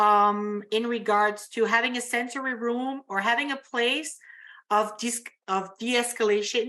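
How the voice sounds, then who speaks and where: With an Acadian accent, a woman reads at a fairly slow pace in a fairly high, bright and sharp voice. Her intonation stays fairly even, and the recording is very clean with a silent background. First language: French. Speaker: youth program worker. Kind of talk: audience question at symposium. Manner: halting.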